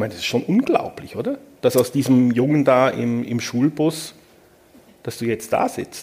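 A man keeps a moderate pace as noticeable background noise continues. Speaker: journalist, moderator. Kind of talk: on-stage interview. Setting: stage with audience.

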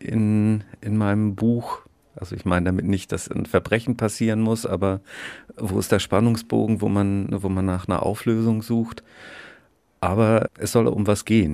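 A man talks at a moderate pace in a fairly low, dark and mellow tone, his intonation monotone and flat. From northern Germany, Schleswig-Holstein (Bad Segeberg). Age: 50s. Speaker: children's book author, actor and musician. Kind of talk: casual interview. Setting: outdoors on a backyard balcony.

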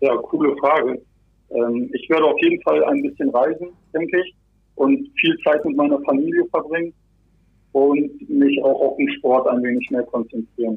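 The pace is moderate. Long pauses come often. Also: man. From northern Germany, Bremerhaven. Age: 20s. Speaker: logistics dispatcher and basketball player. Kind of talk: interview. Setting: phone call from home office. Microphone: phone line.

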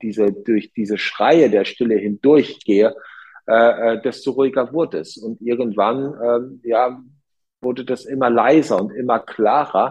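Talking at a moderate pace, a man uses a plain, everyday voice with fairly even intonation. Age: 40s. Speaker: hotel entrepreneur. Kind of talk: interview.

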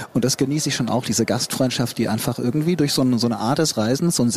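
Against noticeable background noise, a man talks at a fairly quick pace with medium pitch and ordinary pitch variation. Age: 50s. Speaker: photographer and adventurer. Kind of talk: casual interview.

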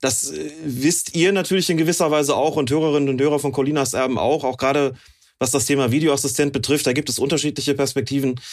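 Over a silent background in a very clean recording, a man talks at a very fast pace with fairly high pitch, fairly even intonation and very even loudness. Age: 50s. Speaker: football referee and referee expert. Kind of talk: casual chat.

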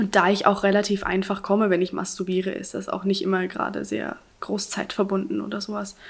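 Speaking at a fairly quick pace, a woman uses a medium pitch with vocal fry and monotone, flat intonation. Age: 20s. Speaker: interview guest sharing personal story. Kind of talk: casual interview.

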